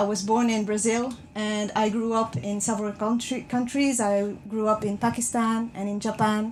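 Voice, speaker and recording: Fairly high, somewhat breathy voice of a woman. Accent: slight non-native. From France. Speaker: speaker. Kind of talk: public talk. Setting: train compartment with passengers. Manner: halting.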